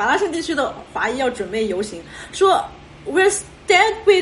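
Against noticeable background noise, a woman speaks at an extremely high pitch with very wide pitch swings. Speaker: podcast host. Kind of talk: casual chat. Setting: video call.

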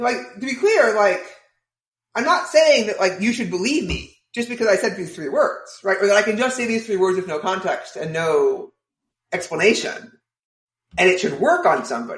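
A man with a high pitch speaks at a moderate pace, his voice making very wide pitch swings. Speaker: COVID forecaster, writer and game designer. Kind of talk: casual chat.

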